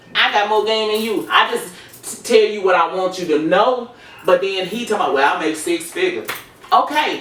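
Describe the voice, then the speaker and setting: A woman with a fairly high voice talks at a moderate pace. There is noticeable background noise and audible room echo. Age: 50s. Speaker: podcast guest. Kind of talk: casual chat. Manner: halting.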